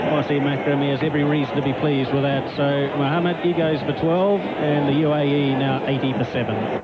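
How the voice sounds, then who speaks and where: A man with a fairly high voice speaks at a moderate pace and fairly even intonation, with noticeable background noise. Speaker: cricket commentator. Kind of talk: live cricket commentary. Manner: measured, analytical.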